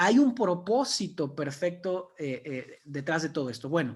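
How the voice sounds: Speaking at a fairly slow pace, the man has a high pitch.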